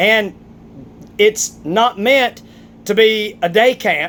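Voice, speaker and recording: A man with a strong Southern US accent speaks with ordinary pitch variation. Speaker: vlogger, athlete. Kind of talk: opinion rant vlog. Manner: animated, emphatic.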